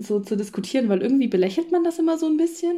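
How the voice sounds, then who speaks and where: Her voice has a dark, mellow tone, and the woman speaks with lively intonation. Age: 20s. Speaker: social work student. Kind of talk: casual chat.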